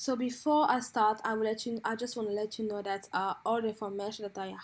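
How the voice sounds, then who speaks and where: A woman's fairly high voice comes through in a flat monotone on a very clean recording with a silent background. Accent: French. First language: French. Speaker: beauty and hair vlogger. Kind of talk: informal explainer. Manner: halting.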